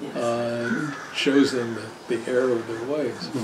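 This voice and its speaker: Noticeable noise sits behind this recording. A man talks in it at a fairly slow speed. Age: 70s. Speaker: attorney presenting year review. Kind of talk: talk with audience Q&A. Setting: party with live audience.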